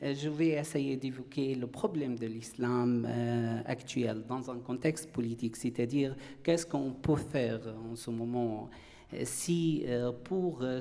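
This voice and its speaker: Audible room echo accompanies a man with an Arabic accent who speaks very slowly at a medium pitch with fairly even intonation. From Syria. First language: Arabic (speaking French). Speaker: philosopher, panelist. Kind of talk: conference talk. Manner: halting, frequent hesitations.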